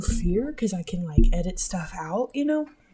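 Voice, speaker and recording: Woman's voice with very wide pitch swings over background music. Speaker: podcast host. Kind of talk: casual monologue. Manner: hesitant with many fillers.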